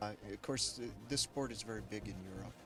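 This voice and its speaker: Music plays behind a man with an American accent. His pitch is medium and his intonation fairly even. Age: 60s. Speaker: masters kayak athlete. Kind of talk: interview. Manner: halting.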